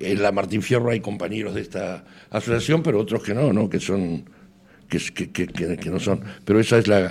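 At a moderate pace, a man talks in a plain, everyday voice with a fairly low pitch and ordinary pitch variation. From Argentina. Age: 60s. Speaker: association secretary. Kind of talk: radio interview.

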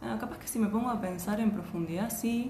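A woman is talking. Noticeable background noise and audible room echo come through. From Argentina, Posadas (Misiones). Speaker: journalist. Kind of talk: casual chat.

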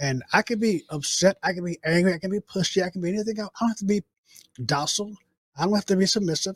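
The speech comes at a very fast pace with ordinary pitch variation, in a dry, close sound with no echo. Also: man, high pitch for a man. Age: 70s. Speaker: political commentator co-host. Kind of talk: casual chat.

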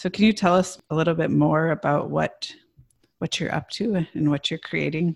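A woman with a very deep, low pitch and vocal fry speaks with fairly even intonation, the sound dry and close with no echo in a very clean recording with a silent background. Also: moderate pace. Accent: American. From US Midwest. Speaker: podcast co-host. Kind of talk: interview conversation.

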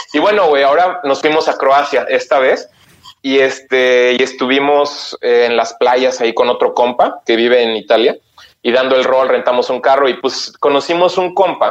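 The speaker has a normal speaking voice at a moderate pace. Loudness stays very even, with ordinary pitch variation. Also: man, fairly high pitch for a man. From Mexico, Oaxaca. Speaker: Mexican emigrant in Germany. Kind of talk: casual chat.

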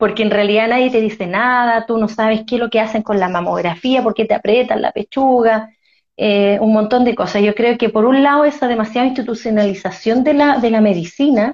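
A woman with a plain, everyday voice speaks fairly quickly at a fairly high pitch, with ordinary pitch variation and a quiet background. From Chile, Concepción area. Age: 40s. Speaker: breast cancer survivor and podcaster. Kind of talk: live online conversation. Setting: at home, live stream.

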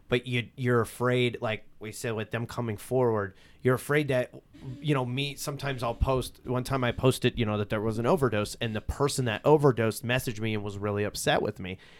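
A man with a Pennsylvania Coal Region accent talks at a fairly quick pace. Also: medium pitch for a man, fairly even intonation. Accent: Coal Region Pennsylvania, noticeable. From Coal Region, Pennsylvania. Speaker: local social media news page creator and festival organizer. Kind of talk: casual interview chat.

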